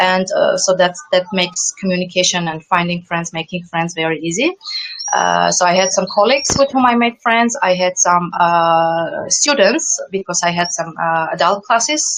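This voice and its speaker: A woman speaks with lively intonation at a moderate pace. Her pitch sits in the medium range. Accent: non-native. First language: not English. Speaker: former English teacher abroad. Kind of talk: interview. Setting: video call. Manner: halting, many repetitions.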